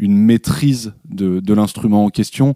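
Fairly low in pitch, this male voice carries a dark, mellow tone. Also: dry, close sound with no echo, very clean recording, silent background. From Paris. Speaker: musician. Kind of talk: interview. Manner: halting.

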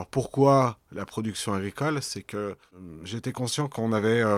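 Heard in a very clean recording with a silent background and a dry, close sound with no echo, a normal speaking voice carries fairly even intonation. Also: man. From Lyon, France. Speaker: organic vegetable farmer. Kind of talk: interview. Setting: on his farm.

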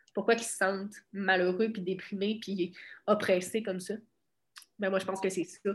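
A woman in a Quebec accent speaks at a moderate pace and medium pitch, her intonation monotone and flat. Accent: Québécois French. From Quebec, Bas-Saint-Laurent (Cabano). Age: 20s. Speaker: boxer. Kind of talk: casual interview.

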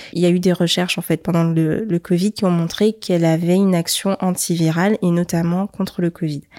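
A woman speaks with a calm, dark, mellow tone in a fairly low pitch. Her pace is moderate, her intonation fairly even, and the sound dry and close with no echo. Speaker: entrepreneur. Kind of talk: interview.

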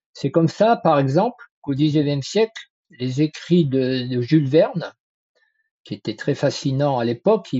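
This man has an ordinary speaking voice and lively intonation. He speaks at a fairly slow pace. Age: 60s. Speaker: trend forecasting consultant. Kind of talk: interview.

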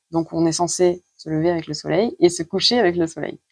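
A woman's voice at a fairly low pitch and moderate pace, dry and close with no echo, over a quiet background. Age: 30s. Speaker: nurse and trainee Chinese medicine practitioner. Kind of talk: interview. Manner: hesitant with frequent fillers.

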